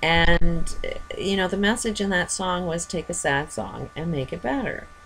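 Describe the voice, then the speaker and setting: A woman talks at a fairly slow pace, with noticeable background noise behind her. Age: 50s. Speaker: vlogger. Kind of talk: personal monologue. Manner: halting.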